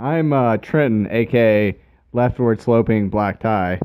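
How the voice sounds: With a clear, smooth tone, a man speaks at a fairly slow pace, his fairly low pitch showing ordinary variation.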